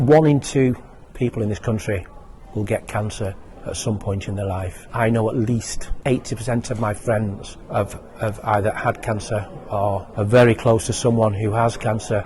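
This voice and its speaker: Over noticeable background noise, a man with a British accent talks at a moderate pace and a medium pitch. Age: 60s. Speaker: retired university lecturer, charity fundraiser. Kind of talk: interview testimony. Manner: halting.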